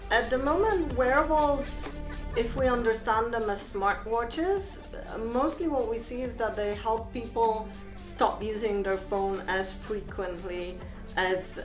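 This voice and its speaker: A woman with a fairly high pitch speaks very slowly and with lively intonation over music in the background. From Poland. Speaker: tech lead at a software company. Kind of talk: interview answer.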